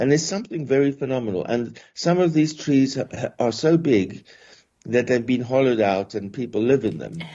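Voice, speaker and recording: With a South African accent, a man talks at a medium pitch. His intonation is lively. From South Africa, Johannesburg. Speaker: professor. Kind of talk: podcast interview. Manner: halting, many repetitions and fillers.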